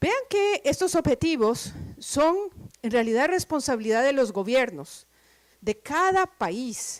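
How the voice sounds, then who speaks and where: A woman's high-pitched voice at a very slow pace, with very wide pitch swings. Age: middle-aged. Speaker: professor. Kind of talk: lecture. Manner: deliberately slow.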